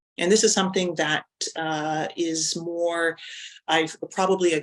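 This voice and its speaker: Speaking fairly slowly, a woman talks in a French accent. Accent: Canadian English, non-native French. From Canada. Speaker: university lecturer. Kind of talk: webinar presentation. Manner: halting with fillers and repetitions.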